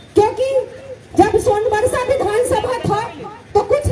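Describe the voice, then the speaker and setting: Crowd noise fills the background. A woman speaks with fairly even intonation. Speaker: politician. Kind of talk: political rally speech.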